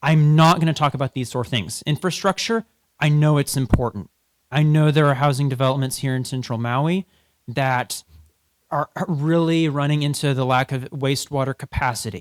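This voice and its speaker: An unremarkable speaking voice from a man, fairly high in pitch, with ordinary pitch variation, moderate pace, and a dry, close sound with no echo. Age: young. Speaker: policy researcher and debate coach. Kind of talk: public presentation. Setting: stage with audience.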